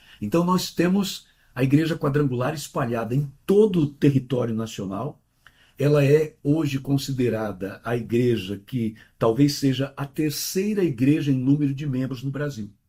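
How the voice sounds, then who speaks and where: A man's somewhat breathy voice with a dark, mellow tone, fairly high in pitch, ordinary pitch variation and a moderate pace. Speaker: pastor. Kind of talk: interview.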